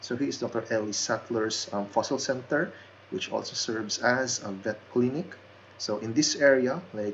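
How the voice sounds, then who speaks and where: A man speaks with a non-native accent at a moderate pace. His pitch is medium, with ordinary pitch variation. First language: not English. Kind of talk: casual game tour narration. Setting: basic home microphone.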